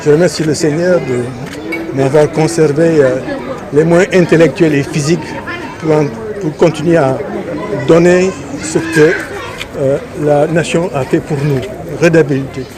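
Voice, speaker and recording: A man's fairly high voice at a very slow pace, with fairly even intonation, long and frequent pauses, audible room echo and crowd noise in the background. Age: 80s+. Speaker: academy president and scientist. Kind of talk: interview statement. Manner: hesitant with fillers.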